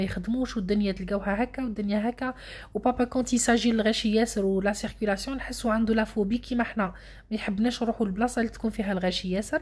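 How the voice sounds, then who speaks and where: A woman's somewhat breathy, fairly high voice at a very fast pace, on a very clean recording with a silent background. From Algeria, Annaba. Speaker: vlogger. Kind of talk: casual vlog narration. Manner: fast, animated.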